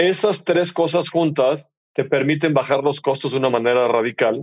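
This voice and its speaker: Speaking at a fairly quick pace, the man has a plain, everyday voice with ordinary pitch variation. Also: dry, close sound with no echo. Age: 50s. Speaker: entrepreneur, fintech CEO. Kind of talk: casual interview conversation. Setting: studio.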